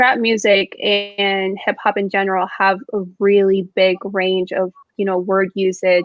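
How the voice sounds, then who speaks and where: A woman's medium-pitched voice in monotone, flat intonation. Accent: Spanish. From Mexico. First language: Spanish. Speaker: student panelist. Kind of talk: casual chat.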